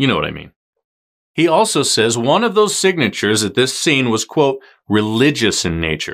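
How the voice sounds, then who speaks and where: A man speaks at a moderate pace in a dramatic tone, his pitch swinging very widely. His tone is bright and sharp, and the background is quiet. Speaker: true crime podcast host. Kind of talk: true-crime narration, scripted recap. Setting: YouTube video podcast. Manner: dramatic, suspenseful storytelling; conversational, wry asides. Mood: serious, earnest. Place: studio.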